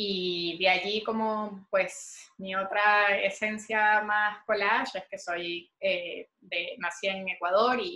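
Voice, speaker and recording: Speaking very slowly yet with hardly any pauses, a woman with a Venezuelan accent has a medium pitch, a bright, sharp tone, and fairly even intonation. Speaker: visual artist. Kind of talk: interview.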